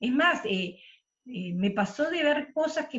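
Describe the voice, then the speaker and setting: Her voice pitched high, a woman swings through her notes very widely. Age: 60s. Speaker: book club participant, former union activist. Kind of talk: casual discussion. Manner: halting, many fillers.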